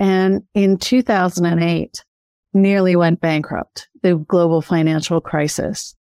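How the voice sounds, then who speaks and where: A woman with an unremarkable speaking voice talks with fairly even intonation in a dry, close sound with no echo. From Canada, then Australia from age 16. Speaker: author and mindset coach. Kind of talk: interview. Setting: remote call.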